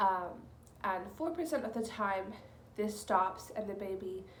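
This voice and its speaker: Noticeable background noise and audible room echo surround the recording. A woman at medium pitch speaks at a fairly slow pace. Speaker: vlogger. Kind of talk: casual vlog monologue. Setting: at home, in the nursery. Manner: hesitant, many ums.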